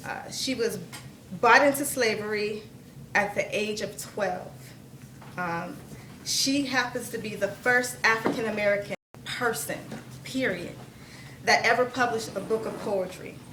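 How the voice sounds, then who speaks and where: A woman speaks at a fairly slow pace with a fairly high pitch and ordinary pitch variation, leaving long, frequent pauses. Noticeable background noise and audible room echo fill the recording. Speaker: spoken word poet. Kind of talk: storytelling; poetry performance. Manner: stuttering at times.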